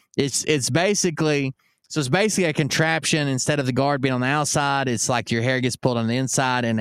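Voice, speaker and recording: In a very clean, dry, close recording with a silent background and no echo, a man with a normal speaking voice talks at a fairly quick pace, medium in pitch with ordinary pitch variation. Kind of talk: pitchman reading an old ad aloud; casual live-stream chat. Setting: live stream. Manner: joking, sarcastic asides.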